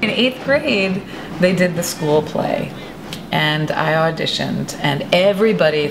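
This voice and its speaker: A woman speaks with an American accent and lively intonation. Noticeable background noise runs underneath. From New England, USA. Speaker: actress. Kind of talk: interview answer. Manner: casual, conversational.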